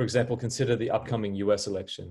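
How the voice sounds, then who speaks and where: Over a quiet background, a man with an Australian accent talks at a fairly quick pace, somewhat breathy, in a dark, mellow tone with fairly even intonation. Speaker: philosophy professor. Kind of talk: welcome message. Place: home room. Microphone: webcam.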